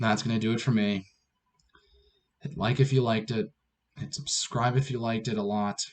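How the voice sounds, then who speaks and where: This is a raspy, put-on character voice. It moves at a fairly quick pace with long, frequent pauses. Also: man, medium pitch for a man. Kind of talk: sign-off to a video audience. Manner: monotone.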